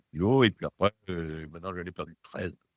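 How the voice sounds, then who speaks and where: With very wide pitch swings, a man talks at a fairly quick pace on a very clean recording with a silent background. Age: 60s. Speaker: program participant giving testimonial, engineer. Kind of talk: testimony. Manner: halting, many hesitations and repetitions.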